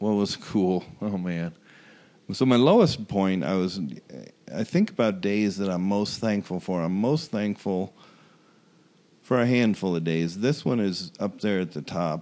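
A man talks at a fairly slow pace in a dark, mellow tone, pausing long and often. His pitch is fairly low and varies in an ordinary way. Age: 60s. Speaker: former pro baseball pitcher. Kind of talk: interview testimony.

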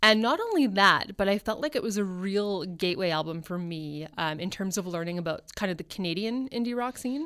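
A woman with a normal speaking voice and medium pitch talks at a fairly quick pace with lively intonation and hardly any pauses. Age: 30s. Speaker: newspaper columnist and former music journalist. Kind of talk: casual interview chat. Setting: radio studio.

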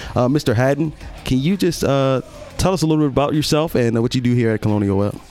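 Music plays behind a man who speaks very fast in an animated tone. His voice sits at a medium pitch with ordinary pitch variation. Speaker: podcast host. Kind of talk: casual interview chat. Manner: animated, friendly.

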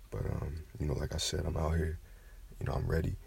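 Noticeable background noise sits under a man's voice. He talks at a fairly quick pace with a very deep, low pitch. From Kentucky. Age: 20s. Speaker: podcaster. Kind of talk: casual monologue. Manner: animated.

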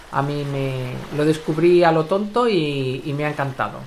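A woman speaks with a very deep, low pitch. Noticeable background noise can be heard. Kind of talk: casual chat.

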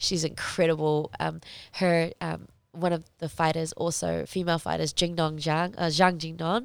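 A woman with a New Zealand accent at a moderate pace, on a very clean recording with a silent background. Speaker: professional MMA fighter. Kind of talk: casual interview.

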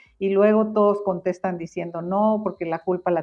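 A woman's medium-pitched voice in a flat monotone. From Guatemala. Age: 70s. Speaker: market research firm founder. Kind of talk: interview conversation.

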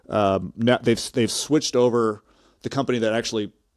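An ordinary speaking voice from a man, medium in pitch and fairly quick in pace, in a very clean recording with a silent background. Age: 40s. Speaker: senior editor, surfer. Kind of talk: casual chat.

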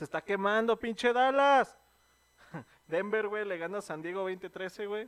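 With a Mexican accent, a man with a high pitch speaks in an animated tone at a fairly slow pace, with long, frequent pauses and ordinary pitch variation. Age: 20s. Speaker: podcast co-host. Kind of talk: casual chat.

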